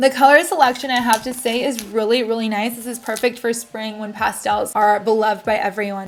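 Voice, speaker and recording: Noticeable background noise sits under a woman's fairly high voice. She talks fairly quickly with ordinary pitch variation. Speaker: beauty YouTuber. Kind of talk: unboxing haul video. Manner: fast; animated.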